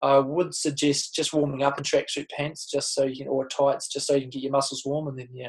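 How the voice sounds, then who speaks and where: Against a quiet background, a man with a New Zealand accent talks at a fairly quick pace with hardly any pauses, his voice somewhat breathy. His intonation stays monotone and flat while his loudness swings widely. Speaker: Olympic triathlete. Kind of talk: casual chat. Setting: video call. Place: home room. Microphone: webcam.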